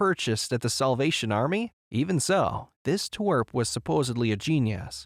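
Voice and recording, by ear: A person reads aloud in a natural voice, intonation lively, with a quiet background.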